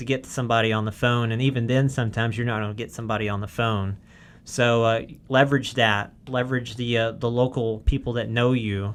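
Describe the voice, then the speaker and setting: In a Southern US accent, a man at medium pitch speaks very fast with monotone, flat intonation on a very clean recording with a silent background. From US South, Arkansas. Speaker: wireless network engineer. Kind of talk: podcast tutorial discussion. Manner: casual, many fillers.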